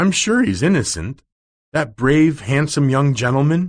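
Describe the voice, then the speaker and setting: Putting on a character voice, a man speaks with lively intonation. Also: fairly high pitch for a man, moderate pace. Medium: read story.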